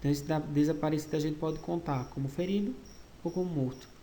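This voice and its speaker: A man talks at a fairly quick pace in a fairly high voice with a dark, mellow tone. His pitch varies in an ordinary way, and audible room echo surrounds him. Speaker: school history teacher. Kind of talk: online lecture. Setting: recorded virtual class.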